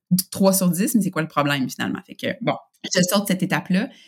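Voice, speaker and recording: This woman has a Quebec accent. The pitch of her voice shifts normally. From Quebec, Canada. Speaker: workplace engagement expert. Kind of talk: interview. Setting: video call.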